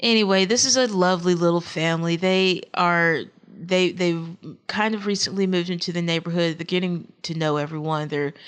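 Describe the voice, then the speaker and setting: Speaking at a fairly quick pace in a Texas accent, a woman keeps a fairly even intonation at a fairly low pitch. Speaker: gaming YouTuber. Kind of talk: game commentary. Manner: halting.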